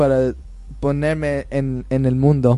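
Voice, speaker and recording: A man is speaking. He has a non-native accent. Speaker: host's son. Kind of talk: radio interview. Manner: halting.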